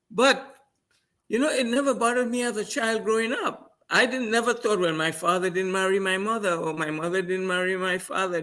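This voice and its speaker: A man projects a raised voice with a bright, sharp tone, lively intonation and a fairly quick pace. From Trinidad and Tobago. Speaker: trainer. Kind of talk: interview. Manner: halting, repeating words.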